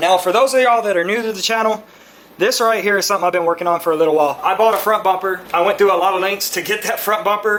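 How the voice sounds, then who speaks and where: In a Texan accent, a voice rushes along at a very fast pace against noticeable background noise. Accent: Texas English. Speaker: car enthusiast YouTuber. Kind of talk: casual unboxing vlog.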